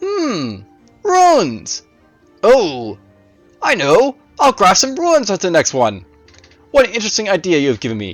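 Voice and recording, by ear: A man's put-on character voice, high-pitched with very wide pitch swings, at a fairly slow pace with long, frequent pauses over faint music in the background.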